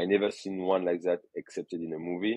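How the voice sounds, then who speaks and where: In a French accent, a man speaks at a moderate pace with a very deep, low pitch and monotone, flat intonation. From France, Burgundy. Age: 30s. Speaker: photographer and wine expert. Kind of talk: casual interview. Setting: podcast. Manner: halting.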